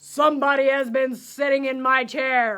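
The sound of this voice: Using a put-on character voice, a woman speaks at a high pitch and a moderate pace.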